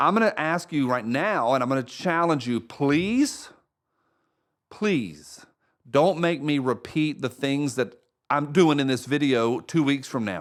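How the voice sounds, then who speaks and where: A man with a fairly high pitch and lively intonation speaks at a fairly slow pace on a very clean recording with a silent background. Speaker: college instructor. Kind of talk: course welcome video. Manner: animated.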